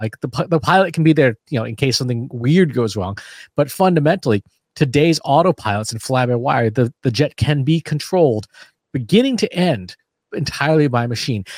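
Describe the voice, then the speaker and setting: An ordinary speaking voice, a man's fairly high one moves at a fairly quick pace with lively intonation, in a dry, close sound with no echo and a very clean recording over a silent background. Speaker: podcast host. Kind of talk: casual chat.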